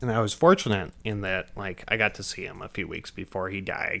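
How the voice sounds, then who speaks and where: A man talks in a normal speaking voice with a fairly low pitch and fairly even intonation. The recording is very clean, its background silent. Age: 30s. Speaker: podcast co-host. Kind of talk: casual chat.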